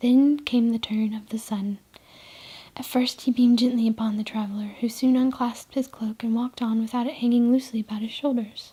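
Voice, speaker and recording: The voice whispers, soft-spoken, at a fairly quick pace. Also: woman. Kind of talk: soft spoken reading of short stories, ASMR. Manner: soft, whispery, relaxing.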